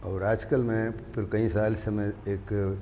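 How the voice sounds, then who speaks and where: A man with a non-native accent speaks in a fairly low, monotone voice with flat intonation, and room echo can be heard. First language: not Urdu (speaking Hindi). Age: 80s+. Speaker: political activist. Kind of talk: panel discussion. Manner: halting.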